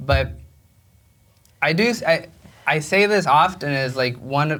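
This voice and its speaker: A bright, sharp voice with a Spanish accent and vocal fry, fairly slow in pace, with ordinary pitch variation. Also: man, fairly high pitch for a man. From Mexico. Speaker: film director. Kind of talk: onstage interview. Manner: halting, many repetitions and fillers.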